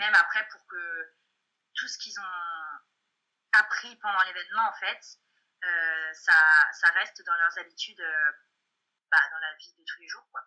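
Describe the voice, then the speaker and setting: Long, frequent pauses and big swings in loudness mark this woman's speech. Her pitch is fairly low and her intonation fairly even. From Brittany, France. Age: 20s. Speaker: student. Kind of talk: casual chat. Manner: halting. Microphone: sounds like over a phone.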